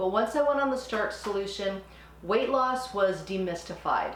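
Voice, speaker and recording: In a room with audible echo and noticeable background noise, a woman of medium pitch talks at a moderate pace. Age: 60s. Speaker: cooking channel host and nurse. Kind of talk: channel intro; cooking tutorial. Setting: home kitchen.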